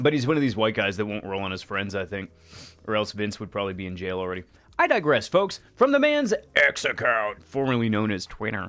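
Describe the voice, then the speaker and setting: Fairly quick and fairly low-pitched, a man speaks in a bright, sharp tone. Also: ordinary pitch variation. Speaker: livestream host. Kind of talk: casual live stream commentary.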